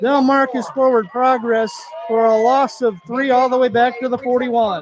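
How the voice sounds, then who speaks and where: Over noticeable background noise, a man speaks at a moderate pace with an extremely high pitch, fairly even intonation and very even loudness. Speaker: play-by-play announcer. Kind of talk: live commentary. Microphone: muffled through mask.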